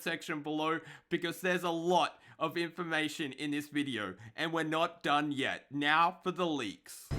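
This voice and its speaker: In an Australian accent, a high-pitched man speaks in a bright, sharp, animated tone, in a very clean recording with a silent background. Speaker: gaming youtuber. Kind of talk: casual gaming commentary.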